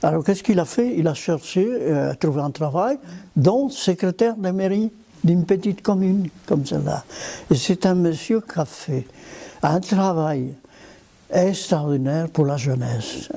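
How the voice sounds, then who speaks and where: A man with a high pitch and a dark, mellow tone uses lively intonation, leaving long, frequent pauses. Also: fairly slow pace. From Spain. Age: 90s. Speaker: former potter, resistance fighter and village mayor. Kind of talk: interview answer, recounting wartime memories. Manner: hesitant, with frequent repetitions.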